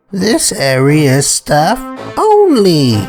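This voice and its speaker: A man's put-on character voice, high-pitched with very wide pitch swings, over faint music in the background. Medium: read story.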